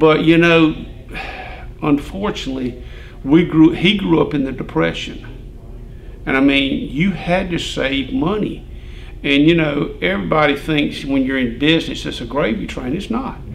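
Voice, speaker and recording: With an Alabama accent, the speaker talks at a moderate pace with lively intonation and long, frequent pauses, amid audible room echo and noticeable background noise. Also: man, fairly high pitch for a man. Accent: Southern US (Alabama). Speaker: retired farm equipment dealer. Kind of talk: casual chat.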